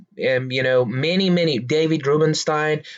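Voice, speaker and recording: Man in a Persian accent with a fairly high pitch and fairly even intonation. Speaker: stock market commentator. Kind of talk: casual explainer monologue. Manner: halting, many fillers.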